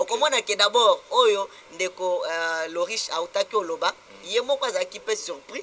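A man at a moderate pace, with big swings in loudness and light background noise. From DR Congo. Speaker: interviewee, community spokesman. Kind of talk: TV talk show interview. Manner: halting. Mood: earnest, animated complaint.

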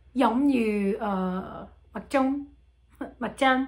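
With a French accent, a woman speaks using ordinary pitch variation. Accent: French-accented learner Vietnamese. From France. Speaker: language learner. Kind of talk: casual talk to camera. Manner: hesitant, many fillers. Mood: relaxed, smiling. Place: home room. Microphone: phone near.

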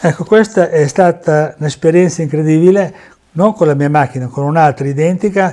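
A man speaks in a high pitch with ordinary pitch variation against a quiet background. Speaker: former amateur racing driver and memorabilia dealer. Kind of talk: storytelling over photos. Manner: animated. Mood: proud, enthusiastic. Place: home room. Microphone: lapel.

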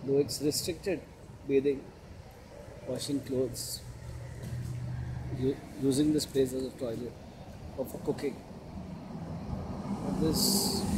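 Amid noticeable background noise, a man speaks at a moderate pace with ordinary pitch variation and long, frequent pauses. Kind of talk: casual commentary. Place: beach. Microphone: phone near.

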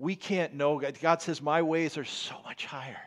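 Over a quiet background, a man talks at a fairly high pitch. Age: 50s. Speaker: pastor. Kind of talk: sermon. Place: church. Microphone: headset.

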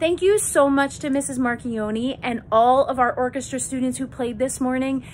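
A woman speaks in a high pitch with light background noise. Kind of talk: casual morning announcements to students. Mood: warm, moved, enthusiastic. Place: office. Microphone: phone near.

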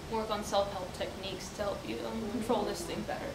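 Over noticeable background noise, a woman talks at a fairly quick pace. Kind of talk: scripted role-play dialogue. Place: classroom. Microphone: camera far.

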